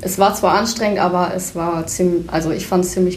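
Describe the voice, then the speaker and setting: Amid noticeable background noise and audible room echo, a woman with a fairly low pitch speaks at a very fast pace in a monotone, flat intonation. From Leer, East Frisia, northern Germany. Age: 19. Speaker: bank trainee. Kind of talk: self-introduction and interview.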